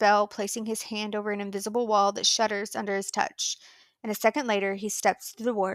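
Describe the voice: The clip is plain reading aloud.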